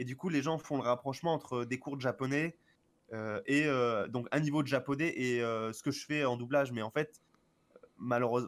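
A normal speaking voice with ordinary pitch variation comes through in a very clean recording against a silent background. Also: man. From Marseille, France. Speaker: voice dubber and Japanese teacher. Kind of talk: casual chat. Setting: live stream.

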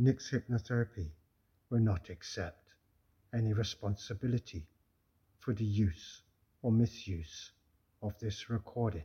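A man speaks in a soothing, calm, somewhat breathy tone at a fairly low pitch with ordinary pitch variation. His pace is fairly slow, with long, frequent pauses. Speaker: hypnotherapist. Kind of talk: guided hypnosis induction, scripted-sounding hypnotic trance guidance. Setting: recorded audio session for listener to follow. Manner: slow, soothing, calm and rhythmic, with repeated suggestions and countdowns; soft-spoken, gently coaxing, hushed and drifting.

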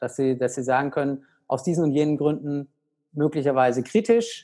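A man with a fairly high pitch and a dark, mellow tone, at a fairly quick pace, with ordinary pitch variation, on a very clean recording over a silent background. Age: 30s. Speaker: pediatrician and medical director of a nutrition organization. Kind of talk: interview conversation. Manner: hesitant with many fillers.

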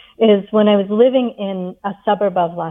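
Using an ordinary speaking voice, a woman speaks with an American accent at medium pitch and with fairly even intonation. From England, then US. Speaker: yoga teacher and author. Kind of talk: interview.

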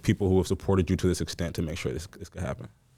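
A man with a very deep, low pitch and a dark, mellow tone speaks at a very fast pace with vocal fry. The recording is very clean, with a silent background. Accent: American. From Dallas area, Texas. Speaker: shoe store owner. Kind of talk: casual interview.

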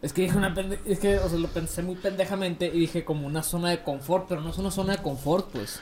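Over noticeable background noise, the speech races at a very fast pace with hardly any pauses and fairly even intonation. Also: man, high pitch for a man. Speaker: podcast co-host. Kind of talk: casual chat.

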